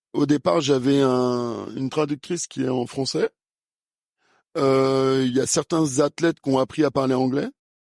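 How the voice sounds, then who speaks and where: Recorded dry and close with no echo, a man speaks at a fairly slow pace. His medium-pitched voice keeps a fairly even intonation. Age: 50s. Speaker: fencing coach and former Olympic fencer. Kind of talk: interview. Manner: hesitant, many fillers.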